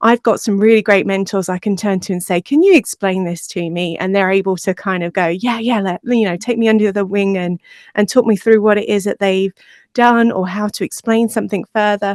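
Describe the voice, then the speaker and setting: A woman with an English accent and a medium pitch speaks with fairly even intonation in a very clean recording with a silent background and a dry, close sound with no echo. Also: fairly quick pace. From England. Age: 40s. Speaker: podcast producer. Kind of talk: interview conversation. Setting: podcast.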